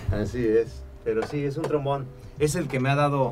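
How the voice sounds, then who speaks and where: A man talks at a moderate pace in a room with audible echo. Music plays in the background. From Mexico, Tampico, Tamaulipas. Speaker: musician and music producer. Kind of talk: interview. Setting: studio.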